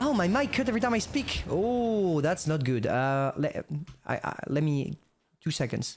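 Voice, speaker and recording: At a moderate pace, the speaker talks with a French accent. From France. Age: 20s. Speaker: gaming streamer. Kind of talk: casual live-stream chat while gaming. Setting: live stream. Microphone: mic cutting out at times.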